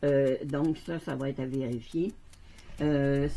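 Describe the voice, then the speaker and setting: A woman with a Quebec accent speaks in a dark, mellow tone. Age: 70s. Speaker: resin crafter. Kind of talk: casual tutorial. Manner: halting, many fillers.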